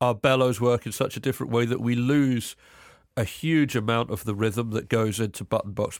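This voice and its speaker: A man's medium-pitched voice in a southern English accent, fairly quick in pace, on a very clean recording with a silent background. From England, Cambridge. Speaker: folk musician and composer. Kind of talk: casual interview chat.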